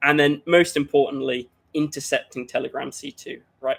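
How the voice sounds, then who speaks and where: Moderately paced speech from a man with a British accent. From UK. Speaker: cybersecurity workshop presenter. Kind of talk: conference workshop presentation. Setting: livestreamed online conference. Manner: hesitant, many fillers.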